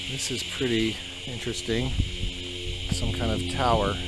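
A man's flat, monotone voice at a moderate pace, with music in the background and a dry sound without echo. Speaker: family vlogger. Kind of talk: casual vlog chat. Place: open country. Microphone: phone near.

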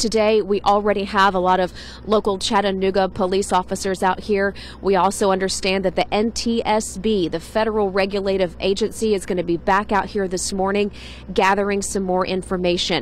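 A woman's flat, monotone delivery at a fairly quick pace, dry with no echo, over light background noise. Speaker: TV field reporter. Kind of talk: live news report. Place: street. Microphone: handheld.

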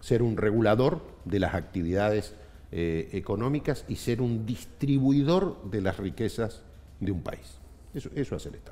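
A man talks at a moderate pace in a Rioplatense accent. His intonation is lively. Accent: Argentine Spanish (rioplatense). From Argentina, Neuquén province. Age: 50s. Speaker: trade union leader; guest. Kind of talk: interview. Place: studio. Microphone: headset.

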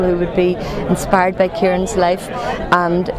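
A woman talks at a moderate pace in a dry sound with no echo, with crowd noise in the background. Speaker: local politician at event. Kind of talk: interview answer. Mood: earnest, warm. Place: street.

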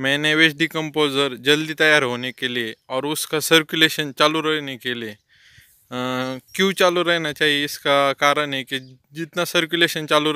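Against a quiet background, a man talks very slowly in a bright, sharp tone. His intonation is fairly even, and the sound is dry with no echo. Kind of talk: explanatory demonstration. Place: farm machine. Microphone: phone near.

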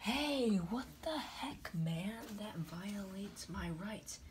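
A female-sounding, cartoonish character voice at medium pitch crawls along at a very slow pace over clear background noise. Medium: puppet.

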